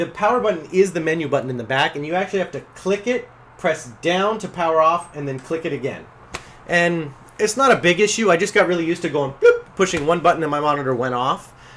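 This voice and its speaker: A man speaks very fast in a high voice with ordinary pitch variation, and noticeable background noise is present. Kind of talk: casual product review to camera. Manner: fast, rambling.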